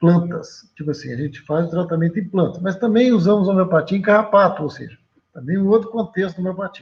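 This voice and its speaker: With a high voice and ordinary pitch variation, a man talks at a fairly quick pace. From Minas Gerais, Brazil. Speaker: geneticist and homeopathy researcher. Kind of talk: interview.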